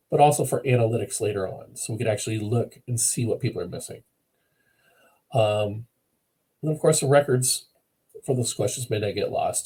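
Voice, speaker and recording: A man's medium-pitched voice, dark and mellow, somewhat breathy, at a fairly quick pace with long, frequent pauses and ordinary pitch variation. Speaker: e-learning developer presenting a case study. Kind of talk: webinar presentation. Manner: fast; hesitant, many fillers.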